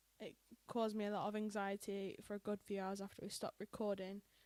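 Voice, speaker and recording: A woman speaks at medium pitch with a British accent and fairly even intonation. The sound is dry and close, with no echo. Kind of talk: casual podcast conversation.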